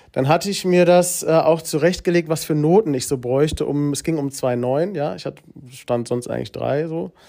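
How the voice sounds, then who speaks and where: A man's dark, mellow tone at a fairly high pitch, with ordinary pitch variation. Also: moderate pace. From Hesse, Germany (Gießen). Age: 30s. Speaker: deputy school principal. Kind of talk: casual interview. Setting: school room. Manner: hesitant with many fillers.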